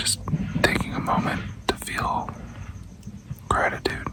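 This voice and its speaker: A man whispering amid noticeable background noise and audible room echo. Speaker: travel vlogger. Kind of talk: casual vlog to camera. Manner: soft-spoken.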